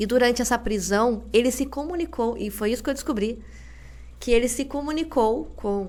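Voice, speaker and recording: With lively intonation and a fairly high pitch, a woman talks at a moderate pace with vocal fry. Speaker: teacher and researcher. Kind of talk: podcast interview.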